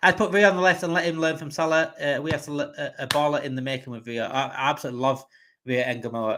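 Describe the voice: A man of medium pitch speaks fast in a fairly bright tone with fairly even intonation.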